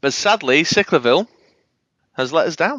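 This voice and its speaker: A man speaks in a Manchester accent. His pace is fairly quick. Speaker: podcast host.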